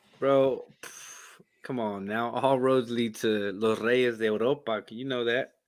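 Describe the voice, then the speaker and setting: A man's medium-pitched voice with a Southern US accent, a very slow pace, hardly any pauses, monotone, flat intonation and big swings in loudness. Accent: pretty southern. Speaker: soccer podcast co-host. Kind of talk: casual chat. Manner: slurry.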